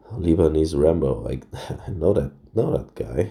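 A man's very deep, low voice with vocal fry. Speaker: mobile game streamer. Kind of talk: gameplay commentary. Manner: casual, hesitant.

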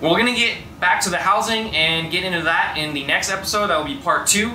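A man's fairly quick speech with ordinary pitch variation, audible room echo and light background noise. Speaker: garage channel host. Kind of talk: tutorial. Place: garage.

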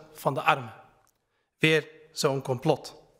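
Quiet background, a man, fairly slow pace. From Netherlands, Utrecht (Kanaleneiland); Netherlands. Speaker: member of parliament. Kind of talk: parliamentary speech. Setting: parliament chamber. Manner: formal. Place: hall. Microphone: podium.

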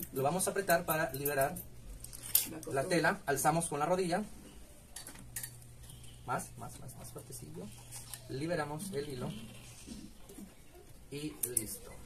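A man talks at a fairly slow pace with long, frequent pauses and ordinary pitch variation. Noticeable background noise runs under his voice. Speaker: sewing machine instructor. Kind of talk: sewing machine demonstration. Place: workshop. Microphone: phone near.

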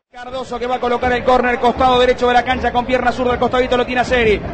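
A man speaks at a very fast pace in an extremely high pitch, with crowd noise in the background. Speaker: radio football commentator. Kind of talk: live football commentary. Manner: animated, excitable, fast-paced with shouted goal calls; repeated shouted phrases at peaks.

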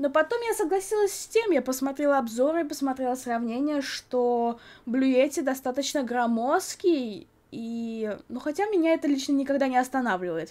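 Speaking at a moderate pace, a woman uses lively intonation at a high pitch. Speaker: YouTuber. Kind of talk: product review. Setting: home recording. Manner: animated. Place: home room.

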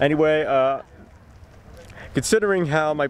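A man is heard in a dry recording with no echo and light background noise. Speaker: car vlogger. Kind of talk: casual vlog chat. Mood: cheerful, joking. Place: street. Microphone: phone near.

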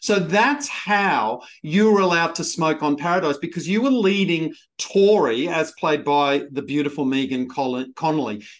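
Lively intonation marks a man speaking with an Australian accent over a quiet background. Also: moderate pace, hardly any pauses. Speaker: TV podcast host. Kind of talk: interview. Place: home room. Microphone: webcam.

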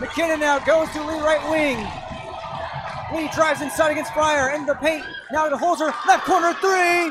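Over crowd noise in the background, a man with an extremely high pitch raises and projects his voice at a fairly slow pace, with ordinary pitch variation and long, frequent pauses, the sound dry with no echo. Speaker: sports broadcaster and TV reporter. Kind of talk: live sports play-by-play commentary. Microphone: headset.

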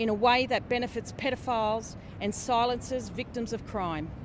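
A woman with an Australian accent at a high pitch and moderate pace, dry with no echo, over noticeable background noise. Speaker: abuse survivor. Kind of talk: testimony. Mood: serious, earnest. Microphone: handheld.

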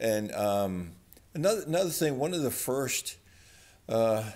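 At a fairly slow pace, a man's voice moves through very wide pitch swings. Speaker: channel host. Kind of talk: casual nostalgic vlog chat. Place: garage.

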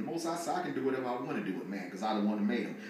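Light background noise and audible room echo around a man's speech. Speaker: religious teacher. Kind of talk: sermon. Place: home room.

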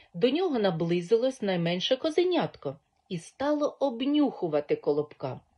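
The voice is reading aloud in a natural voice. The background is quiet.

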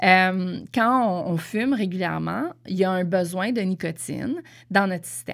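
A woman in a Quebec accent at a fairly slow pace, on a very clean recording with a silent background. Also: medium pitch for a woman, ordinary pitch variation. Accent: Québécois French. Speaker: podcast host. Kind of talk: casual monologue. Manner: hesitant, many fillers.

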